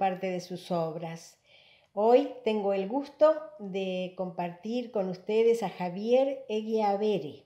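At a very slow pace, a woman speaks with ordinary pitch variation, with audible room echo over a quiet background. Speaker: writer and presenter. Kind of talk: formal introduction of a guest. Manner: halting, hesitant with filler sounds. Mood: warm, smiling. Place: home room. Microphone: webcam.

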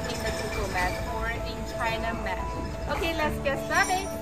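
A woman speaks over loud music in the background. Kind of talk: tutorial. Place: shop.

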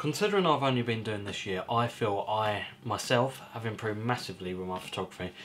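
A man speaks fairly quickly with ordinary pitch variation, and light background noise runs underneath. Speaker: hobby photographer vlogger. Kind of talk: casual vlog chat. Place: home room.

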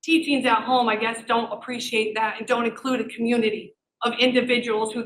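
This woman talks loudly at a fairly quick pace. Her high-pitched voice has a bright, sharp tone. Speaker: parent speaking at public comment. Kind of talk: public comment at school board meeting. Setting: public meeting room without microphone. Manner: animated.

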